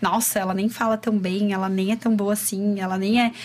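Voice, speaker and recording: A woman's fairly high voice at a moderate pace, fairly even in intonation, over noticeable background noise. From Chapecó, Santa Catarina, southern Brazil. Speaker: entrepreneur and women's personal development coach. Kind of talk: casual interview chat. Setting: studio.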